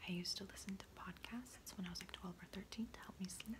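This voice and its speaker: Noticeable background noise accompanies a woman who is whispering. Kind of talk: ASMR soft-spoken talk to camera. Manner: soft-spoken, whispering.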